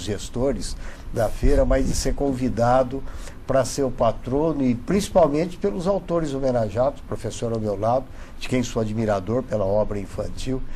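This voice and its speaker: A man with lively intonation is heard amid noticeable background noise, his voice carrying audible room echo. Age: 70s. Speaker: lawyer. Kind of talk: TV talk show interview.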